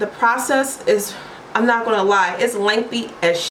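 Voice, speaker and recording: A woman with a Baltimore accent at a fairly high pitch, animated and fairly slow, with audible room echo and noticeable background noise. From US, Baltimore, Maryland. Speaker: vlogger and English teacher. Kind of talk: casual vlog monologue. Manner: animated, chatty.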